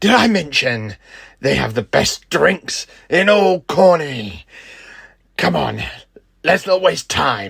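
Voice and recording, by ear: Putting on a character voice, a man speaks slowly at a fairly high pitch, with a fairly bright tone, big pitch swings, a husky, rough edge and vocal fry.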